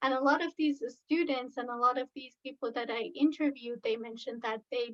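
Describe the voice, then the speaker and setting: Over a dry, close sound with no echo, a woman with an Iranian accent talks at a moderate pace in a high voice with fairly even intonation. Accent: Iranian (Persian) accent in English. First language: Farsi. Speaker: researcher, conference presenter. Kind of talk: conference presentation. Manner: halting, many fillers and restarts.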